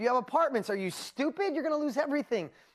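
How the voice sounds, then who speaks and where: A very fast, animated delivery in a New York accent with very wide pitch swings, on a very clean recording with a silent background. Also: woman. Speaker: business coach and seminar presenter. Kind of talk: motivational seminar talk.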